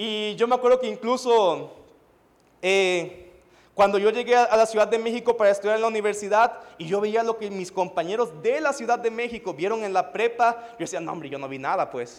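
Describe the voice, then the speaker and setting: A man with a high pitch speaks at a moderate pace, his loudness swinging widely. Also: ordinary pitch variation, very clean recording, silent background. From Mexico (Veracruz). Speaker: pastor. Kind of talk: sermon.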